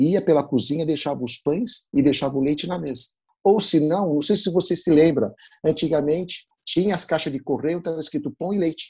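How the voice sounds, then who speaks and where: Speaking at a fairly quick pace, a man has a fairly high pitch, a dark, mellow tone, and ordinary pitch variation. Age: 50s. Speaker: bakery owner. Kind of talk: interview.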